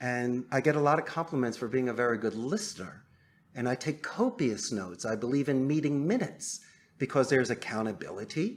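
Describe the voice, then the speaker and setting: Over a silent background in a very clean recording, a man with an unremarkable speaking voice talks at a fairly quick pace in a medium pitch with lively intonation. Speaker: call center owner. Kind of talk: podcast interview answer.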